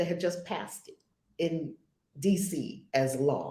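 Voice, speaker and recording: A woman speaks with an American accent at a fairly slow pace, her pitch medium. Her tone is dark and mellow and somewhat breathy. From New York. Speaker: spiritual teacher. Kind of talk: casual chat.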